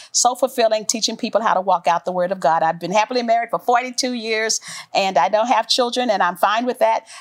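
With a dry, close sound and no echo, an ordinary speaking voice keeps up a fairly quick pace and shows ordinary pitch variation. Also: woman, fairly high pitch for a woman. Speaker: author and former corporate executive. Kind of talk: faith-based interview.

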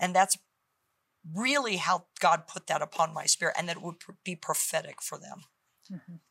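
A woman speaks at a moderate pace with a fairly low pitch, ordinary pitch variation and a bright, sharp tone. Her loudness swings widely, she takes long, frequent pauses, and the sound is dry and close with no echo. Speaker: author and pastor's wife.

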